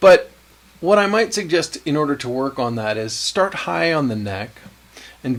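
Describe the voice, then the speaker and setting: A man in a relaxed tone at a moderate pace, with noticeable background noise. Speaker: guitar teacher. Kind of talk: tutorial. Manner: relaxed, conversational.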